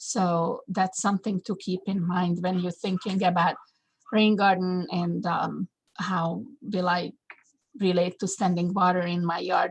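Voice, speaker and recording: A woman with a non-native accent speaks at a fairly slow pace in a medium pitch, somewhat breathy, with fairly even intonation. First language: not English. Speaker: landscape designer and horticulture teacher. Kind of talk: webinar presentation. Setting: video call webinar. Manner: halting, many fillers.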